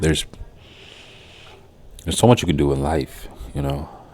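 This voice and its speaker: Fairly quickly, a man talks in a very deep, low pitch. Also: long, frequent pauses. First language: Haitian Creole. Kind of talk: casual commentary. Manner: halting, repetitive.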